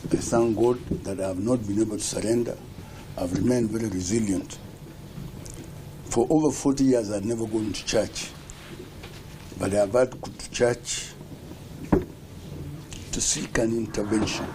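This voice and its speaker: A man at medium pitch and moderate pace, with ordinary pitch variation, long, frequent pauses and noticeable background noise. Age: 70s. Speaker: retired public servant. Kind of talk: interview.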